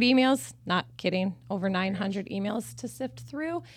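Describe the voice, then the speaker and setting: A woman with a Midwestern American accent speaks at a moderate pace with lively intonation. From Michigan and Missouri. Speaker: business owner. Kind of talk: casual interview.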